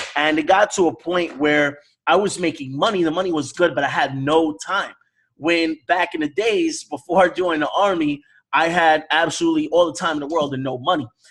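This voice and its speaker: Speaking at a fairly quick pace, a man with an American accent uses a high pitch and fairly even intonation. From New York (the Bronx), US. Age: 30s. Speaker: forex network marketer. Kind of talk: online sales presentation.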